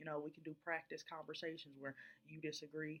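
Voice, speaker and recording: A woman is speaking. Her pace is fairly quick. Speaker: leadership student presenting philosophy. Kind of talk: prepared video presentation. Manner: calm, relaxed.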